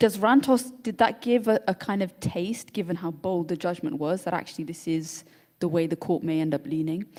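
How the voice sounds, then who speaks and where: Her fairly low pitch and dark, mellow tone pair with lively intonation as a woman with a British accent speaks at a moderate pace. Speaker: panel moderator. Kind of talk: panel discussion.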